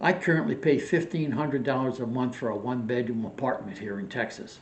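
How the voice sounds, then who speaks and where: A man's somewhat breathy voice at a moderate pace, with audible room echo. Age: 80s+. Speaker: retired vlogger. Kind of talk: casual vlog monologue.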